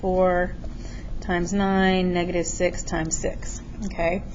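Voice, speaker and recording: Audible room echo on a woman's medium-pitched voice, its intonation fairly even. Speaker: math teacher. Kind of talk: tutorial. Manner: casual.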